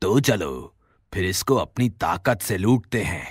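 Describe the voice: A man performs a cartoonish character voice, pitched fairly low. He goes at a fairly slow pace on a very clean recording with a silent background.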